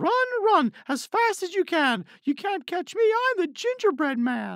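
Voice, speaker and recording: A put-on character voice moves at a moderate pace. The recording is very clean, with a silent background. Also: man, extremely high pitch for a man. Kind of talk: children's story narration. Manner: taunting, energetic.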